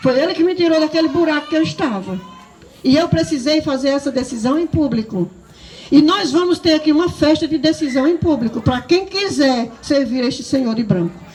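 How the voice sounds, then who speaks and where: A woman's high-pitched, animated voice at a fairly quick pace, with lively intonation, very even loudness and noticeable background noise. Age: 60s. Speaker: preacher. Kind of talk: sermon.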